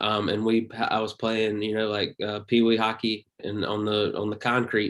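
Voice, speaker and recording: This man, with a Southern US accent, talks at a moderate pace in a monotone, flat intonation. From US South, Pioneers, North Carolina. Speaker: comedian. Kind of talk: casual chat.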